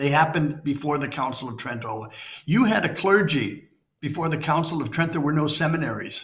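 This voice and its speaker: Room echo is audible as a man with a fairly high pitch talks at a fairly quick pace with ordinary pitch variation. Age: 70s. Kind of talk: interview conversation. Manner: animated.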